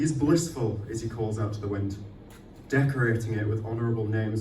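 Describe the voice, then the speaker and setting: There is noticeable background noise as a man talks with a fairly low pitch. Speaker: poet. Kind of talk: poetry reading. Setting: live event venue.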